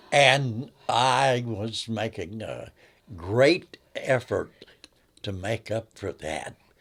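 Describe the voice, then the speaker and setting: A man speaks at a very slow pace with a medium pitch, ordinary pitch variation and big swings in loudness. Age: 80s+. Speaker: grandfather telling love story. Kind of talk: interview storytelling. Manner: conversational, with hesitations.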